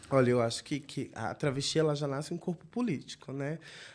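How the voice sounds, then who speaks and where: A woman talks fairly quickly, her voice very deep and low, with fairly even intonation. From Northeast Brazil. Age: 30s. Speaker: city councillor. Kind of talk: interview. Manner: halting.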